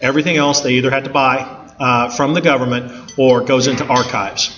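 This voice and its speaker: With an American accent, a man talks at a fairly quick pace and fairly high pitch. Noticeable background noise sits behind him. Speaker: construction manager. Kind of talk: presentation talk. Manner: fast; informal.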